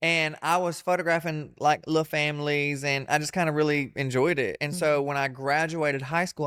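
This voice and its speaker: A speaker with a Southern US accent talks at a fairly quick pace in a monotone, flat intonation. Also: man. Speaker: comedian and entertainer. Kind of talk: interview answer. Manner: casual, candid.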